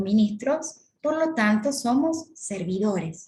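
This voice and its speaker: A woman with a Córdoba Argentine accent speaks in a somewhat breathy, fairly high voice, with audible room echo. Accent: Córdoba Argentine Spanish, sing-song. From Argentina, Córdoba. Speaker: course lecturer on church ministries. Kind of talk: lecture.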